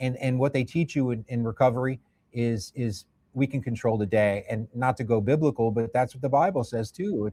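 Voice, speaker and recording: Speaking with an American accent at a fairly quick pace, a man uses medium pitch, ordinary pitch variation and a somewhat breathy voice, in a dry, close sound with no echo on a very clean recording with a silent background. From Indiana, US Midwest. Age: 50s. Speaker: addiction recovery worker. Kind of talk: podcast interview. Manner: casual, animated.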